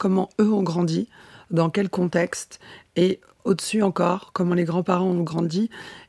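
A dark, mellow tone with fairly even intonation and a dry, close sound with no echo. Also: woman. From France, Nancy. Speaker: model and actress. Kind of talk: interview. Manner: halting.

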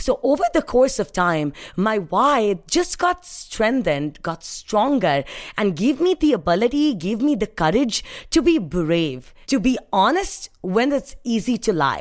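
Animated in tone, a woman speaks at a fairly high pitch with very wide pitch swings. Vocal fry runs through her voice. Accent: Indian. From Mumbai, India. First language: Hindi. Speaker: sales professional and speaker. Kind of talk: interview, storytelling with motivational tone. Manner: animated, motivational.

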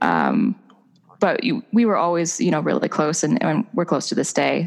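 Speaking at a fairly quick pace, this woman has an American accent. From Pittsburgh, US. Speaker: author. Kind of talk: casual interview chat.

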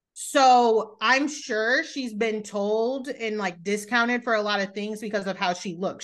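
Fairly slow speech with hardly any pauses and ordinary pitch variation, set against a quiet background. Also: woman. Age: 30s. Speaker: podcast host. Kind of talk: casual chat. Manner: animated.

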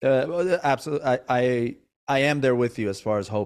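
A normal speaking voice moves at a fairly quick pace. Its pitch variation is ordinary. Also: man. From Iran, moved to US at eight. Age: 30s. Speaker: podcast host, comedian and actor. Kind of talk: casual interview chat.

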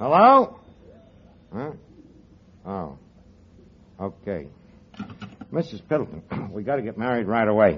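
Using a put-on character voice, a man speaks slowly at a fairly low pitch with a slightly husky edge, big pitch swings, and long, frequent pauses.

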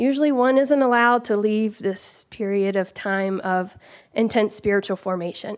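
A woman with an American accent and an unremarkable speaking voice talks at a moderate pace. Her pitch is fairly high, with ordinary variation, and the background is quiet. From US South (rural Georgia). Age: 30s. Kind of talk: live storytelling.

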